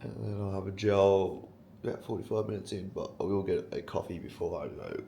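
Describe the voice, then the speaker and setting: A man talks at a very fast pace in an Australian accent. Noticeable background noise and audible room echo come through. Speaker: fitness vlogger. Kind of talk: casual vlog talk to camera.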